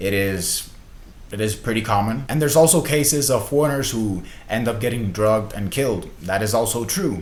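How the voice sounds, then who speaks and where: A man talks at a fairly quick pace at a medium pitch, and audible room echo surrounds his voice. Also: ordinary pitch variation. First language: Spanish. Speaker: vlogger. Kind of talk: casual vlog monologue.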